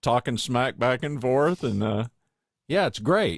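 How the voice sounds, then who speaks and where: Here is a plain, everyday voice with lively intonation. The pace is fairly slow. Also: man. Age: 60s. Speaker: podcast host. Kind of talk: casual interview chat.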